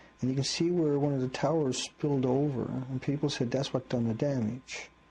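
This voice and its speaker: Speaking at a moderate pace, a man with a medium pitch has a somewhat breathy, dark, mellow tone and fairly even intonation. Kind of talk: casual commentary on video footage, conspiracy-style analysis.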